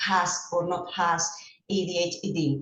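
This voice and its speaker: Audible room echo surrounds a woman whose voice sits fairly low in pitch. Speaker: school psychologist and swimming coach. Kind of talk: presentation. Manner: halting, with frequent fillers.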